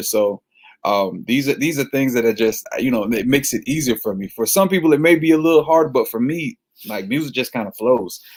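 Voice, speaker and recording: This man talks at a very fast pace with an American accent. His pitch varies in an ordinary way. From Florida. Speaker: gospel singer-songwriter. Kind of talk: casual interview. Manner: casual.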